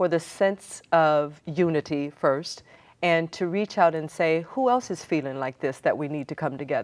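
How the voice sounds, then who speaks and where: With an American accent, a woman in an ordinary speaking voice talks at a fairly slow pace, her pitch fairly low with ordinary variation, on a very clean recording with a silent background. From Seattle, US Pacific Northwest. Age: 60s. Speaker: community organizer and city council candidate. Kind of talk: TV interview.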